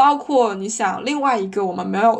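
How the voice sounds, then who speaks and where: A woman's unremarkable speaking voice at a fairly high pitch. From China. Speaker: podcast co-host. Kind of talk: casual chat.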